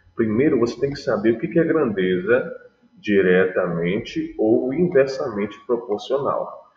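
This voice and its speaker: A man speaks at a fairly slow pace. Audible room echo fills the recording. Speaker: math teacher. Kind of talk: online class lecture. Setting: live online class. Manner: soft-spoken.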